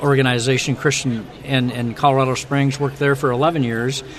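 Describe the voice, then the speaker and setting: A man speaks fairly quickly at a medium pitch, in a monotone, flat delivery. Noticeable background noise runs underneath. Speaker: ministry recruitment director. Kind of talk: radio interview.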